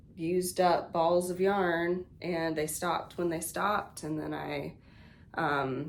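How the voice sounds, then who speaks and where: A woman talks at a very slow pace and a fairly low pitch, with audible room echo. Her intonation is monotone and flat. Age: 30s. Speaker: knitting podcaster. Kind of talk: casual show-and-tell vlog. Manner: casual, many filler words.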